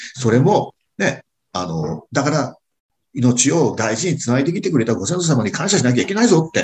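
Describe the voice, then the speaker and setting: Using vocal fry, a man speaks at a moderate pace in a fairly high pitch with very wide pitch swings. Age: 60s. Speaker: restaurant owner and lecturer. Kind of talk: casual chat.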